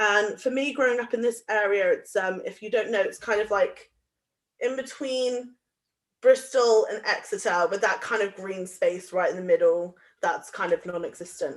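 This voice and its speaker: In a West Country accent, a woman speaks at a moderate pace. Her pitch is fairly high, with ordinary variation. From Somerset, England. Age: young. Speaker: youth community activist. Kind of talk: guest talk at live online event. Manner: casual, hesitant with fillers.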